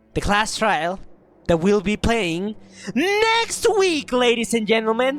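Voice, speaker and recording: Music playing behind a very slow delivery. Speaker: gaming streamer. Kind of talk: let's play commentary. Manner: casual, many fillers.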